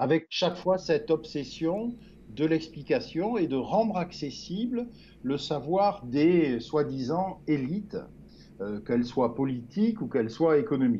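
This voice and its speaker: A man with a fairly high pitch and a dark, mellow tone speaks at a fairly slow pace, his pitch swinging very widely. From France, Gironde near Bordeaux. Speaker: journalist and writer. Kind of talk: interview. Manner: halting, many repetitions.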